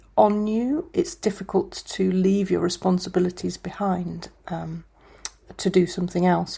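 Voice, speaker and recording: Somewhat breathy speech in a dark, mellow tone at a moderate pace. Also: woman. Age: 50s. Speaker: skateboarder and university lecturer. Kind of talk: casual interview.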